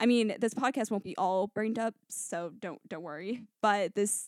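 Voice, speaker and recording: This woman has an American accent and a fairly high pitch with ordinary variation, moving at a moderate pace. The sound is dry and close with no echo, and the recording is very clean against a silent background. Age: 20s. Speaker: podcast host. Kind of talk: casual solo monologue. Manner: animated.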